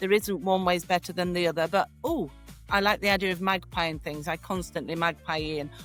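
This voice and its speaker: A woman with an English accent, medium pitch, fairly even intonation and a moderate pace, recorded dry and close with no echo, music in the background. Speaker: podcast host. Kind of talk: casual interview chat.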